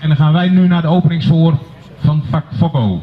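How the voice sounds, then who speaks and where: The man speaks at a high pitch. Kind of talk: welcome speech. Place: open country.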